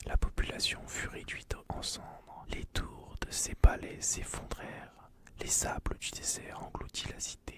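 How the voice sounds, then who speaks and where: Whispering at a fairly slow pace, a man keeps a calm tone. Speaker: ASMR content creator. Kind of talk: ASMR whispered story narration for relaxation and sleep. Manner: whispered, soft, calm.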